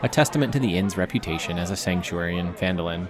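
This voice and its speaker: Against crowd noise in the background, a man with a very deep, low pitch speaks at a fairly quick pace. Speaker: narrator of a tabletop role-playing game story. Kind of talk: scripted dramatic narration of a tabletop adventure; solo narrated playthrough, scripted storytelling.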